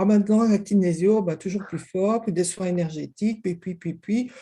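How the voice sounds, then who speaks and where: Speaking in a Belgian accent, a woman of medium pitch has a dark, mellow tone and sounds somewhat breathy. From Belgium. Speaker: kinesiologist. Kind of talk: interview.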